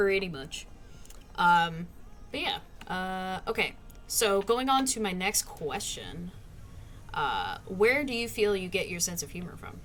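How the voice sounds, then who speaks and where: Over noticeable background noise, a woman of medium pitch speaks at a fairly slow pace with lively intonation, big swings in loudness, and long, frequent pauses. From US South. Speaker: streamer interviewing a friend. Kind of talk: casual interview chat.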